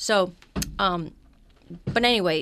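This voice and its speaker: A woman with an American accent uses a normal speaking voice, fairly low in pitch with ordinary variation, on a very clean recording with a silent background. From Los Angeles, US. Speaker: voiceover actor and teacher. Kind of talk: interview.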